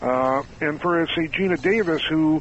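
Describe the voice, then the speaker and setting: This man has a normal speaking voice. His pitch is fairly high and varies in an ordinary way. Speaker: magazine editor. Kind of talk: radio interview.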